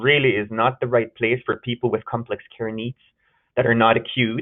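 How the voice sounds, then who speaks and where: A man at medium pitch with a German accent, talking at a fairly quick pace. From Germany. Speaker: gerontology researcher and nurse. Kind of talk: webinar lecture. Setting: webinar.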